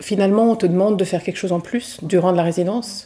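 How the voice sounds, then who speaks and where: This is a woman speaking at a medium pitch. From Switzerland. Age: 40s. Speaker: novelist and art teacher. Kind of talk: casual interview. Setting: over coffee. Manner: hesitant, many fillers.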